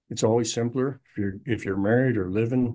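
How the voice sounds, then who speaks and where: Using a plain, everyday voice, a man talks at a medium pitch. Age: 60s. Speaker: financial advisor. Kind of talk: casual chat.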